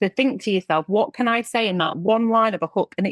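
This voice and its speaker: Here a woman speaks at a moderate pace with an English accent. The sound is dry and close, with no echo. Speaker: recruitment agency owner. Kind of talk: podcast interview.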